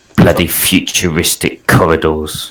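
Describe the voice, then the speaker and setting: The voice is a put-on character voice, delivered at a middling speed. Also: man, very deep, low pitch for a man. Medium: actual play. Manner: playful, teasing.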